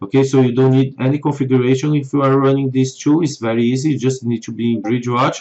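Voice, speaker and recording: With a non-native accent, a man talks at a medium pitch in a monotone, flat intonation. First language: not English. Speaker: software developer. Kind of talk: tutorial.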